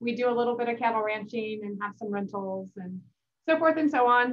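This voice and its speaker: With an American accent, a woman talks at a fairly quick pace and a high pitch. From Northern California. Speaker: county supervisor. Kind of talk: talk at meeting. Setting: video call. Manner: fast.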